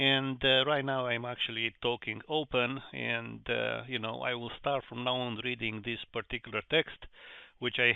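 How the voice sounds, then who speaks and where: The speaker has vocal fry and a monotone, flat intonation. The pace is moderate. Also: man. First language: not English. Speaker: investing channel host. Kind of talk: reading aloud; casual explanation. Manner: halting, many fillers.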